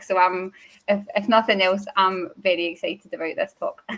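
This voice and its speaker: The speaker has a Glaswegian accent and talks at a fairly quick pace. The intonation stays fairly even. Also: woman. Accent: Glaswegian Scottish. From Scotland, Glasgow. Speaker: user group host. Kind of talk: event introduction. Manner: fast.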